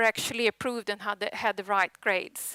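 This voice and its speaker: With a bright, sharp tone, a woman in a Swedish accent is heard in a dry, close sound with no echo on a very clean recording with a silent background. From Sweden. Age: 40s. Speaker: tech conference speaker. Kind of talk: conference presentation. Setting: stage with audience.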